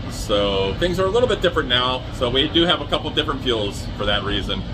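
A man speaks at a moderate pace. Noticeable background noise runs underneath. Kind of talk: casual vlog chat. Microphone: phone near.

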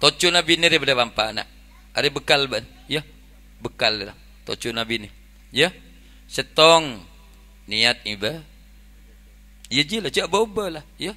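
With a Madura accent, a man speaks at a moderate pace with long, frequent pauses, his fairly high pitch swinging very widely in a bright, sharp tone. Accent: Madurese-accented Indonesian. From Indonesia. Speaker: Islamic preacher. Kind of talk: humorous sermon. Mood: jokey, lively. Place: tent. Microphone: handheld.

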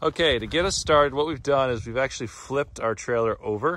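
Pitch varies in an ordinary way, and the sound is dry with no echo. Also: man. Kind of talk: tutorial. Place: open country. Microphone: phone near.

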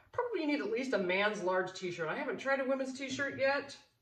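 A woman's high-pitched voice with audible room echo over a quiet background. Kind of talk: tutorial. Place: home room. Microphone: phone near.

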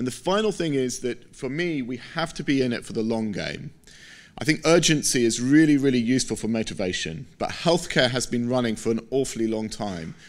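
Speaking at a fairly quick pace with an English accent, this voice has lively intonation. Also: man, medium pitch for a man. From Britain. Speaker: scientist; keynote speaker. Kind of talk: conference keynote. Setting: stage with audience. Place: hall. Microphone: podium.

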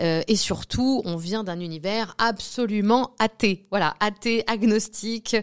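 In a quiet setting, a woman with a fairly high voice speaks very slowly, with hardly any pauses and ordinary pitch variation. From Normandy, France. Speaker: medium. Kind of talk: interview. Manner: hesitant, many fillers. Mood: reflective, personal. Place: studio. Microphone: studio mic.

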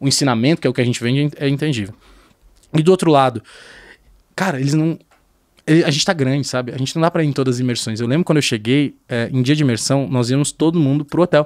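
Over a quiet background, a man with a fairly high pitch talks at a very fast pace with ordinary pitch variation and long, frequent pauses. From southern Brazil, Porto Alegre; Rio Grande do Sul, Brazil. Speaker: sales executive. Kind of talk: casual chat. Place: studio. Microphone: studio mic.

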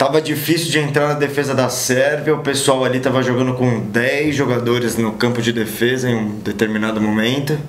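In a room with audible echo, a man talks with fairly even intonation and hardly any pauses. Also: moderate pace. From Brazil. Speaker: co-host. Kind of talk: comedic sports talk show. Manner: casual, jokey. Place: studio.

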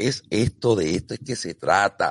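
The sound is dry and close, with no echo. A man speaks in a Puerto Rican accent at a fairly low pitch. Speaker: sailing podcast host. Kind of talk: casual chat. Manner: animated.

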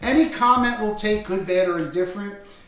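The speech moves at a fairly quick pace with ordinary pitch variation, and room echo is audible. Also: man. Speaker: interview host. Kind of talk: casual interview chat. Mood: warm, grateful, smiling. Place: home room. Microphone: camera far.

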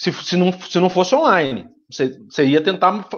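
Over a quiet background, a man speaks at a fairly slow pace in a high pitch. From Rio de Janeiro state, Brazil (Volta Redonda). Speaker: political campaign consultant. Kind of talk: live webinar teaching. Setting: online live stream. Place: home room. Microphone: video call.

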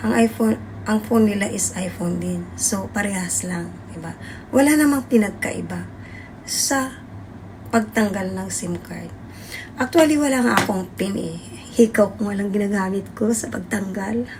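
Noticeable background noise sits behind this recording. A woman talks at a moderate pace. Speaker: overseas domestic worker and vlogger. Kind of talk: casual vlog monologue.

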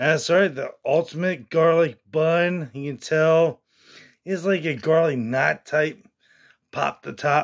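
A fairly high-pitched man at a very slow pace, with fairly even intonation and a quiet background. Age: 30s. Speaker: YouTube food reviewer. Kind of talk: casual vlog food review; direct appeal to viewers. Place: home room. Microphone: phone near.

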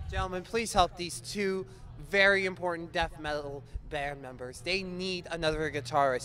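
Over light background noise, a man talks in an animated tone at a high pitch, with ordinary pitch variation and a dry sound with no echo. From Ontario, Canada. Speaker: music podcast host and interviewer; music podcast host, interviewer. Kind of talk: casual interview chat. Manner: animated, joking. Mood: joking, playful. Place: street. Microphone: handheld.

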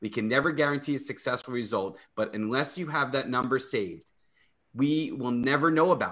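This man talks at a fairly quick pace, his loudness swinging widely. His pitch varies in an ordinary way over a quiet background. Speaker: personal injury attorney. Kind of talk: live radio talk show. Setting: video call. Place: home room. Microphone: video call.

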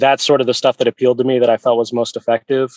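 In an American accent, a man speaks at medium pitch. His intonation is monotone and flat, the sound dry and close with no echo. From Virginia Beach, US. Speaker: animal rights activist. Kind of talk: interview.

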